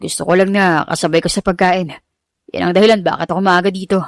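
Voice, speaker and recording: A raspy, put-on character voice from a woman, medium in pitch, monotone and flat, very fast, on a very clean recording with a silent background. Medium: read story. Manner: calm, soft-spoken.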